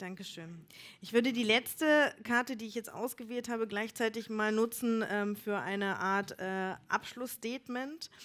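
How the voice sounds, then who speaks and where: A woman with a plain, everyday voice speaks at a fairly slow pace, with ordinary pitch variation and big swings in loudness. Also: fairly high pitch for a woman. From Elbe-Elster, Brandenburg; Brandenburg. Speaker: event moderator. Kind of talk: live event moderation. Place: bar. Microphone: headset.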